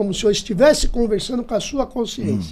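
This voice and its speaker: With typical rises and falls in pitch, the speaker keeps up a somewhat brisk tempo. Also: man. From Brazil, São Paulo. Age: 60s. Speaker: podcast host. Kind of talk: interview conversation. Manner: repetitive, stammering.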